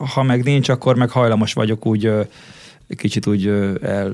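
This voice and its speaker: A man speaks with a normal speaking voice and fairly even intonation. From Hungary, Székesfehérvár. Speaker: DJ and music producer. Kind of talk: interview.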